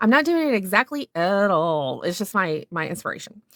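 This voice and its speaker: A woman with a Southern US accent, moderate in pace, with very wide pitch swings and a dry, close sound free of echo. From US South. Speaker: art instructor. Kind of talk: tutorial. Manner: casual, meandering with fillers.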